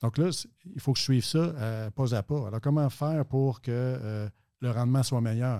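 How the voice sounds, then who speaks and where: A man's dark, mellow voice at medium pitch with a Quebec accent, ordinary pitch variation and moderate pace, dry and close with no echo in a very clean recording with a silent background. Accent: Québécois French. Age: 50s. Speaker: financial advisor and actuary. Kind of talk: interview.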